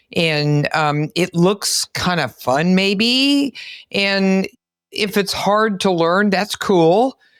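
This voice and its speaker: At a very slow pace, a woman with a medium pitch speaks with lively intonation and very even loudness. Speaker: physician and podcast host. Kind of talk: podcast interview host talk.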